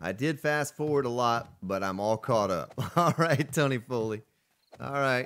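Talking at a moderate pace, a man with an American accent shows ordinary pitch variation. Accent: Southern US, chat says deeply Southern. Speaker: live game streamer. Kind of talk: live gameplay stream, reading chat. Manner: casual, conversational.

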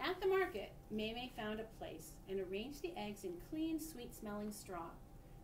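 The clip is plain reading aloud.

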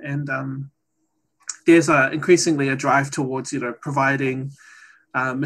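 A man with a New Zealand accent, fairly high-pitched, at a moderate pace and in monotone, flat intonation. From New Zealand, Maori. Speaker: data scientist; presenter. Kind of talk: presentation; lecture. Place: home room. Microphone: video call.

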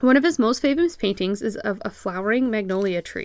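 In a very clean recording with a silent background, a woman with an ordinary speaking voice talks at a fairly quick pace in a fairly high pitch with lively intonation. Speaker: blogger and artist. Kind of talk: scripted blog narration, educational. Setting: home studio. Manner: casual, friendly.

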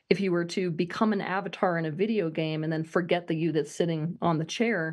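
A woman with a fairly low pitch and ordinary pitch variation talks at a moderate pace against a quiet background. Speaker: interview guest. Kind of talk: interview answer. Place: home room. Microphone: video call.

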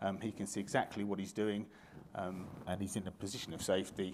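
A man's very deep, low voice at a very fast pace, with noticeable background noise. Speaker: conference presenter. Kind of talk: lecture. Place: hall.

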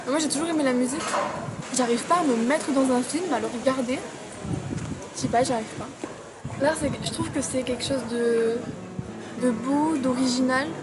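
A woman at a moderate pace with long, frequent pauses, clear music in the background. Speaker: interviewee. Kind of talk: interview answer. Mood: reflective, personal. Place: cafe. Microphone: phone near.

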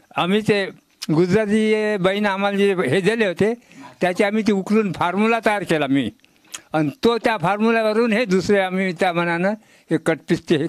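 A man speaks at a high pitch with ordinary pitch variation. The sound is dry with no echo, over a quiet background. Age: 80s+. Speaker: retired tailor making free masks. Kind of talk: interview. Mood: content, warm. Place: home room. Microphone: handheld.

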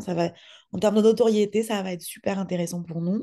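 Fairly quick speech from a woman with a dark, mellow tone and ordinary pitch variation, over a quiet background. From France. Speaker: podcast producer, entrepreneur; podcast producer. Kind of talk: interview. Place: home room. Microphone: video call.

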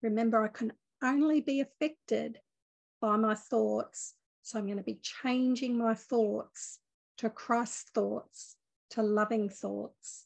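A woman speaks at a very slow pace in a fairly high pitch, with a calm, gentle tone and fairly even intonation. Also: quiet background. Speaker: spiritual teacher leading a meditation. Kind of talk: guided meditation. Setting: online video group session. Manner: calm, gentle, soothing, slow-paced. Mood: calm, gentle, warm. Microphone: phone near.

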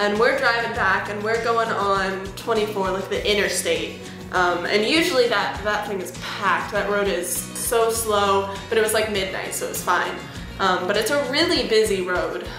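Music plays behind a woman speaking at a moderate pace. Her voice has ordinary pitch variation and audible room echo. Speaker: music vlogger. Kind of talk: casual storytime vlog. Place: home room. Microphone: webcam.

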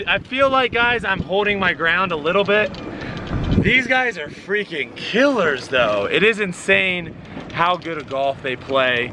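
A man at a fairly slow pace, dry sound with no echo, and noticeable background noise. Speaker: golf vlogger host. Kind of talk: casual vlog chat. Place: open country. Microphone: phone near.

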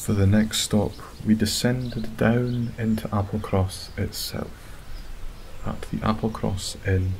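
On a recording with noticeable background noise, a soft-spoken man with a Scottish accent talks in a fairly low pitch with monotone, flat intonation. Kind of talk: sleep story. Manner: soft-spoken, slow.

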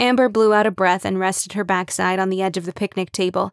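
A voice reading aloud in a natural voice, with fairly even intonation.

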